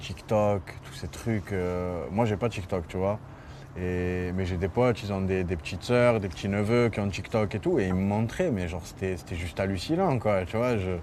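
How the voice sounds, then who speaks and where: This man has a fairly low pitch with ordinary pitch variation. He talks at a moderate pace. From Marseille, southern France. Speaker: rapper. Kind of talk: interview. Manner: hesitant, many fillers; animated storytelling.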